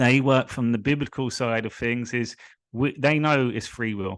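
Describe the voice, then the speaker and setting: A man in a London accent at a moderate pace, with ordinary pitch variation and a quiet background. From England, London (Hillingdon). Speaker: spiritual coach. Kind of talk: live stream monologue.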